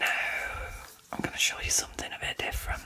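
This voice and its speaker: A woman whispers in a relaxed tone with noticeable background noise behind her. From England. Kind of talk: ASMR chat. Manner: whispered; soft-spoken, relaxed.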